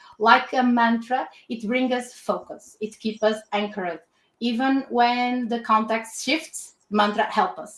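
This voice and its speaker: This woman has a Portuguese accent and a fairly high pitch. She talks at a fairly slow pace with fairly even intonation. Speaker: design system lead at a retail company. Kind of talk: webinar presentation. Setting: online webinar. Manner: halting, with repetitions.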